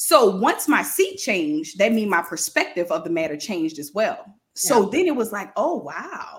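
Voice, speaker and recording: A woman with an American accent speaks at medium pitch and a moderate pace, somewhat breathy, with very wide pitch swings and big swings in loudness. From New Orleans, Louisiana. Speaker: leadership coach. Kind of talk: interview.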